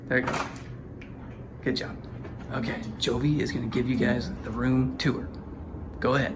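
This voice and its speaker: Quiet and at a moderate pace, a man speaks with long, frequent pauses amid noticeable background noise and audible room echo. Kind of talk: casual chat. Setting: hotel room.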